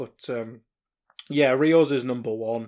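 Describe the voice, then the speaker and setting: The man's voice sits at a medium pitch with fairly even intonation and a moderate pace. The recording is very clean with a silent background. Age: 20s. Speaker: football podcaster. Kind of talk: casual chat.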